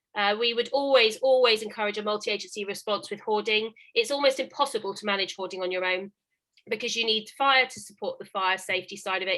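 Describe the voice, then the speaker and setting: A woman talks at a very fast pace in a fairly high pitch, keeping her intonation fairly even. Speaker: housing officer. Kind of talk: webinar presentation.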